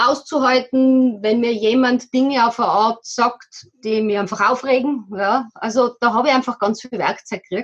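A woman with a normal speaking voice talks fairly slowly at a fairly high pitch, keeping her intonation fairly even. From Austria, Tyrol. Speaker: local politician and nonviolent communication practitioner. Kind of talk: interview.

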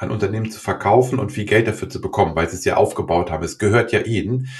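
Ordinary pitch variation in a man's fairly quick delivery. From Germany, Göttingen. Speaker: podcast host, organisational consultant. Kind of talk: interview. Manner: halting.

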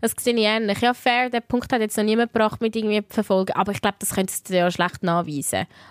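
A woman speaks at a very fast pace with hardly any pauses, at a fairly high pitch. The sound is dry and close, with no echo. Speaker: radio host and podcast co-host. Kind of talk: casual chat. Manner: animated, laughing often.

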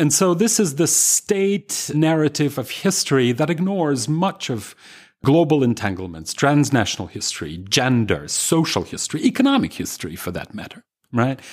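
Speaking in a Russian accent at a moderate pace, a man uses a fairly high pitch with very wide swings, on a very clean recording with a silent background. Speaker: historian. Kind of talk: interview.

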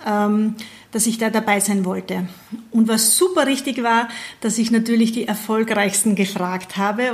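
Over noticeable background noise, a woman speaks at a moderate pace and fairly high pitch with fairly even intonation. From Austria, Burgenland. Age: 40s. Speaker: network marketing team leader. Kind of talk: interview.

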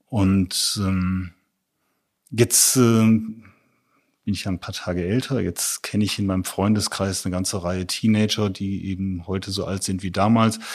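A man at a fairly slow pace and fairly low pitch, monotone and flat in intonation, on a very clean recording with a silent background. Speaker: photographer. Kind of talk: interview conversation.

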